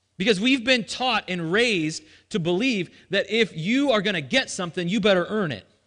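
With a bright, sharp tone and a high pitch, a man talks at a moderate pace in an animated tone with lively intonation over a quiet background. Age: 30s. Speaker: pastor. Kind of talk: sermon.

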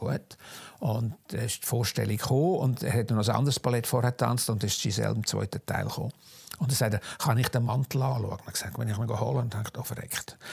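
The voice has vocal fry and moves at a very fast pace. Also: man, medium pitch for a man, ordinary pitch variation. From Switzerland, Zug. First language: Swiss German (speaking German). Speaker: costume designer and fashion historian. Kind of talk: interview, life story. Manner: halting, many fillers.

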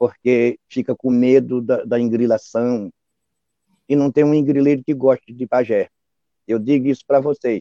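Recorded dry and close with no echo, a man speaks at a moderate pace in a dark, mellow, medium-pitched voice with monotone, flat intonation. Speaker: quilombola spiritual leader, pai de santo. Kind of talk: interview testimony. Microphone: unstable internet connection.

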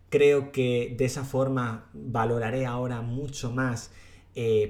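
A man's voice sits at a medium pitch, with fairly even intonation. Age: 30s. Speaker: youtuber podcast host. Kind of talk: solo podcast monologue.

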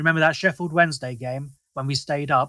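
A bright, sharp tone comes through in a South London accent. The sound is dry and close with no echo. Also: man. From southeast London. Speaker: football fan podcaster. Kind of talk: casual chat. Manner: animated.

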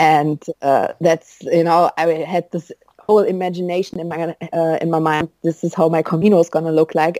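A woman with a German accent speaks at a fairly low pitch in a dark, mellow tone. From Germany. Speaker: pilgrim. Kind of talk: interview. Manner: hesitant, many fillers.

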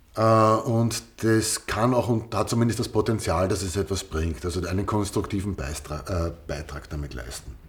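Over noticeable background noise, a man with a fairly low pitch talks at a fairly slow pace, with lively intonation and hardly any pauses. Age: 40s. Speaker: podcast co-host. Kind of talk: casual chat.

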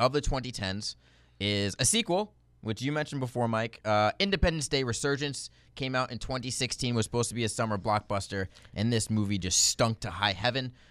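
An unremarkable speaking voice from a man at medium pitch, fairly quick in pace, on a very clean recording with a silent background. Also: ordinary pitch variation. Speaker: movie podcast host. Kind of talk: casual chat.

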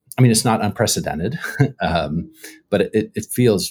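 Recorded with a dry, close sound and no echo, a man talks at a moderate pace in a fairly low pitch, with very wide pitch swings and vocal fry. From US, socially conservative union area. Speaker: history professor. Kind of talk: casual interview.

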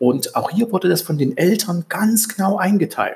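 A man's lively intonation at a moderate pace. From East Germany. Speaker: podcast host, self-improvement coach. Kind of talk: solo podcast monologue. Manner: hesitant, many fillers.

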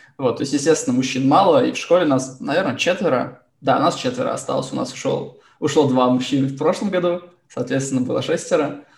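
Somewhat breathy and fairly high, a man's voice moves at a fairly quick pace with lively intonation. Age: 20s. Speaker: school teacher. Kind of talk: panel discussion.

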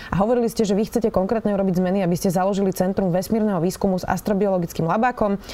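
Noticeable background noise accompanies a woman whose medium-pitched voice keeps a fairly even intonation. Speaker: journalist interviewer. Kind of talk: interview.

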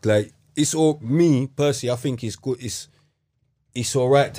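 In a London accent, a man with a dark, mellow tone speaks at a fairly slow pace with ordinary pitch variation. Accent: London multicultural youth English. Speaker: podcast host. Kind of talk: casual chat.

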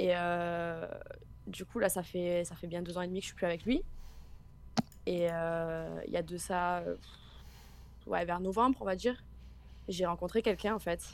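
A woman with a fairly low pitch speaks at a fairly slow pace with fairly even intonation and long, frequent pauses. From Marseille, southern France. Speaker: caller. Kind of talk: testimony.

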